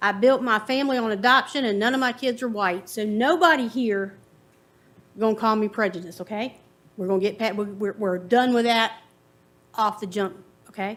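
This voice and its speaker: A woman with a Virginia accent talks at a fairly quick pace and a fairly high pitch, with ordinary pitch variation and long, frequent pauses. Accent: Southern US (Virginia). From US South, Farmville, Virginia. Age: 50s. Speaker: resident giving public comment. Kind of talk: public comment at county board meeting. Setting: public meeting in a courtroom.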